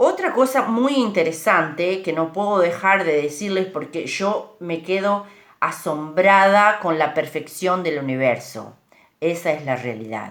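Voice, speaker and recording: Intonation is lively while the delivery stays fairly slow. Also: woman, fairly low pitch for a woman. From Uruguay. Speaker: speaker on bilingualism. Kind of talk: informal talk. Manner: hesitant, with fillers.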